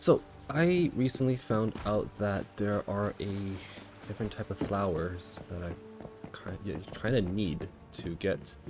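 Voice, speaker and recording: With music in the background, a man in a fairly low pitch talks at a fairly slow pace in a relaxed tone with lively intonation. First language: not English. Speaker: game streamer. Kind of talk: live gameplay stream commentary. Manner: casual, relaxed.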